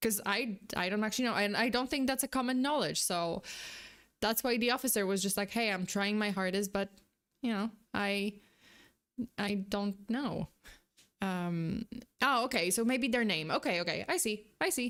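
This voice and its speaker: A woman with a non-native accent and a fairly high pitch speaks at a moderate pace with very even loudness, ordinary pitch variation and long, frequent pauses. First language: not English. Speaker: vtuber streamer reacting to videos. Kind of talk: live stream reaction commentary. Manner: halting, many fillers and restarts.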